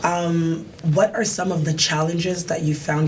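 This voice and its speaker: A woman's very deep, low voice with fairly even intonation, amid noticeable background noise and audible room echo. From DR Congo. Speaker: talk show host. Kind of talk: interview.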